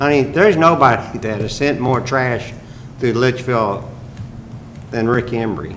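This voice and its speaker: Medium-pitched male voice with ordinary pitch variation, a fairly slow pace and long, frequent pauses, plus audible room echo and noticeable background noise. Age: 70s. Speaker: mayor. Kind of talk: council meeting discussion. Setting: city council meeting.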